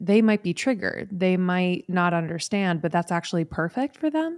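A woman speaks at a moderate pace with a medium pitch. The sound is dry and close with no echo, and the recording is very clean over a silent background. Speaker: podcast co-host and speaker. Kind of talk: casual interview chat. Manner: animated, warm.

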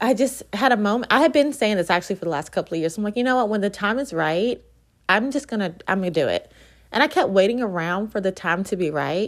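An animated tone at a very fast pace, with lively intonation, on a very clean recording against a silent background. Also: woman, medium pitch for a woman. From Virginia, US. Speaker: podcast host, real estate agent, entrepreneur. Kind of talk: solo podcast monologue, casual. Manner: animated, chatty.

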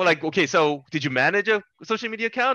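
Against a quiet background, a man with a Californian accent talks with lively intonation. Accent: General American, Californian. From US West Coast, Los Angeles. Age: 30s. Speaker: esports executive. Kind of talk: interview conversation.

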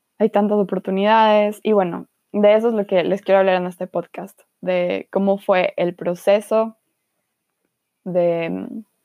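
A woman's intonation stays fairly even. She talks at a very slow pace. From Ecuador, Guayaquil. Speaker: podcast host. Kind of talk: casual chat.

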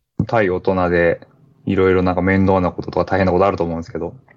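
This man's voice has a very deep, low pitch. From Niigata, Japan. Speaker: school teacher and trail runner. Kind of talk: casual interview.

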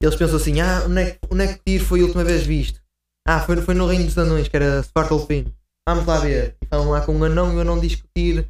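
A man with a very deep, low pitch and a somewhat breathy voice speaks at a very fast pace in monotone, flat intonation. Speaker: video game fan guest. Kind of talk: casual chat.

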